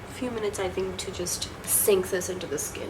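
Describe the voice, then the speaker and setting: Over noticeable background noise, a woman talks at a moderate pace with a medium pitch and ordinary pitch variation. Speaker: beauty vlogger. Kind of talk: casual talk to camera, product review.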